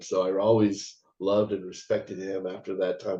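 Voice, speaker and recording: A man speaks at a moderate pace. His fairly low voice sounds dark and mellow. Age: 60s. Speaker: actor and martial artist. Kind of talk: interview. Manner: halting.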